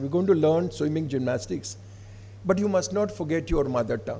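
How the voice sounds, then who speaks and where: With an Odisha accent, a man with a fairly high pitch and a dark, mellow tone speaks at a fairly quick pace, his pitch swinging very widely, with vocal fry and audible room echo. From India, Odisha. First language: Odia. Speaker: professor of English giving keynote address. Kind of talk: academic keynote speech. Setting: college seminar hall with student audience. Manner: formal.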